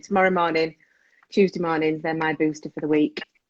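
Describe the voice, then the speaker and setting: Very fast and in an English accent, a woman speaks at a very deep, low pitch with monotone, flat intonation. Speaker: parenting coach and show host. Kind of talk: casual chat. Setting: live video stream.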